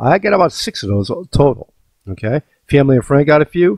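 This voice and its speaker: A somewhat breathy man at a medium pitch with very wide pitch swings, dry and close with no echo, against a quiet background. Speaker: crypto video host. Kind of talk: casual vlog with screen demo. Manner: fast, animated.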